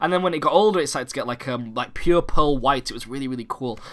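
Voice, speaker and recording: A man talks at a very fast pace with a British accent. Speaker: gaming YouTuber. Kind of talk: casual vlog update. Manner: halting, many fillers; animated.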